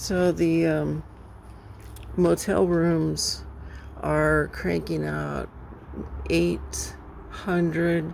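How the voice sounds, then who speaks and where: The speech moves at a very slow pace with long, frequent pauses. There is noticeable background noise. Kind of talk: casual vlog talk to camera. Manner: halting, many filler words.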